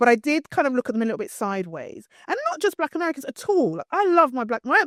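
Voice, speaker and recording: A woman with a British accent speaks very fast in a high, animated voice with very wide pitch swings, recorded dry and close with no echo. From East London (Hackney), England. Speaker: PR and communications strategist. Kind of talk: interview.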